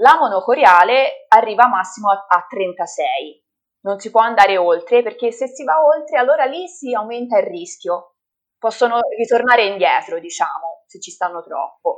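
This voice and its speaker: A woman speaks at a moderate pace and fairly high pitch. Her pitch swings very widely and her loudness shifts in big swings. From Italy, Livorno (Tuscany). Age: 30s. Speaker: mother of twins sharing her birth story. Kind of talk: interview testimony.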